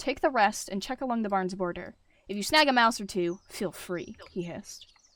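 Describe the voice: The clip is plain reading aloud.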